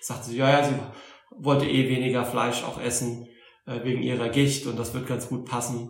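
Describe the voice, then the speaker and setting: A man's medium-pitched, monotone, flat delivery at a moderate pace, with a slight Saarland accent, noticeable background noise and audible room echo. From Saarland, Germany (Saarbrücken). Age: 40s. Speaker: Buddhist teacher. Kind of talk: interview. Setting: Buddhist centre in Berlin.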